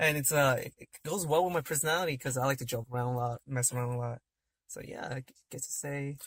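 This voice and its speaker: A man with an American accent speaks very fast at a fairly high pitch, his intonation fairly even and his loudness swinging widely, in a dry, close sound with no echo. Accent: slight accent, self-described. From California. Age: 20s. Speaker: podcast guest. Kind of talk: casual chat.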